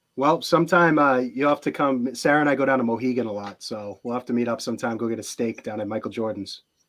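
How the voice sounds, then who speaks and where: This man talks very fast. His voice sits at a medium pitch and varies in an ordinary way. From Boston area, New England (moved from Houston at 11). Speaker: wedding photographer. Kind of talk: podcast interview. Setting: live video podcast. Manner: casual, filler-heavy speech.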